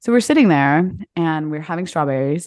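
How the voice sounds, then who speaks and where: A woman speaks in a fairly low pitch. The background is quiet. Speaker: podcast host. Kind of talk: casual chat.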